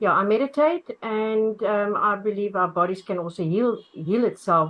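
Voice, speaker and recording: A plain, everyday voice at a moderate pace. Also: woman, medium pitch for a woman, ordinary pitch variation. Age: 50s. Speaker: webinar participant asking about health. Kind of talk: casual Q&A.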